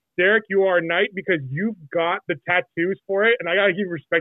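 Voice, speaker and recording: A man with a high voice talks very fast, with hardly any pauses. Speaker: guest. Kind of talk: casual chat.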